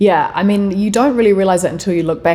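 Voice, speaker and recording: In a New Zealand accent, the voice has a dark, mellow tone and ordinary pitch variation. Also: woman. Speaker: podcast guest. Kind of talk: casual chat.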